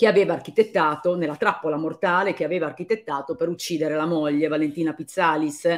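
The background is quiet. The pace is very fast. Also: woman. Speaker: commentator on a legal case. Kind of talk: commentary. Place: home room. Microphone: phone near.

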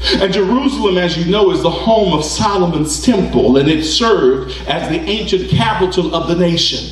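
A man's voice, at a moderate pace, comes with audible room echo. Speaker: preacher. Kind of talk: sermon preaching. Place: church.

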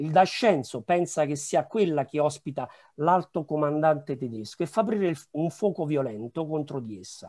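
Against a quiet background, a man with a dark, mellow tone talks at a moderate pace, his loudness swinging widely. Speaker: historian. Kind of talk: conference presentation. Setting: video call. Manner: halting. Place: home room. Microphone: webcam.

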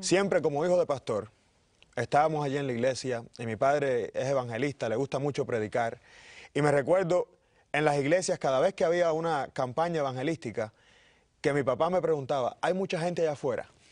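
A plain, everyday voice from a man, fairly high in pitch, at a fairly quick pace with ordinary pitch variation over a quiet background. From Cuba, Pinar del Río. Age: 30s. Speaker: pastor. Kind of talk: interview. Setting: studio.

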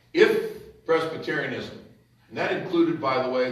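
A man speaks at a fairly quick pace with an American accent. His pitch varies in an ordinary way, and the room echo is audible. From United States. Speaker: pastor; preacher. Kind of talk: sermon. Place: hall. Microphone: camera far.

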